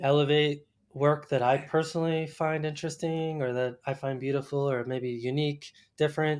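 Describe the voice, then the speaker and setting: In an American accent, a man with a fairly high pitch speaks at a moderate pace with monotone, flat intonation against a quiet background. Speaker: landscape photographer and podcast host. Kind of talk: podcast interview.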